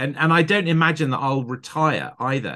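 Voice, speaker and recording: At a moderate pace and with ordinary pitch variation, a man speaks with a southern English accent against a quiet background. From southern England. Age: 50s. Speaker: film editor. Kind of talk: interview. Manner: animated.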